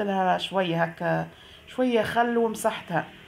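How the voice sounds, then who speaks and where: At a fairly slow pace, a woman with a Tunisian accent speaks at medium pitch. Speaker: vlogger. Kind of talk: casual vlog narration.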